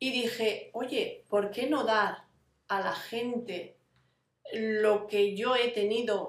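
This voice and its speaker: The speaker is a woman. Her voice is fairly high in pitch. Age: 40s. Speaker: vlogger living with fibromyalgia. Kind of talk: casual personal vlog. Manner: halting, many fillers.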